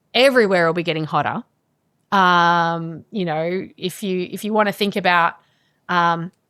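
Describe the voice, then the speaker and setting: In a very clean recording with a silent background, a woman with a fairly low pitch and bright, sharp tone speaks at a moderate pace with ordinary pitch variation. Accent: Australian. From Australia, Melbourne. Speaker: climate scientist. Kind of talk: podcast interview.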